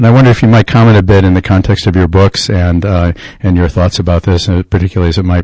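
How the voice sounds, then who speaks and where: Very fast and somewhat breathy, a man talks in a very deep, low pitch with fairly even intonation. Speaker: radio co-host. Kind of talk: radio interview. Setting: studio.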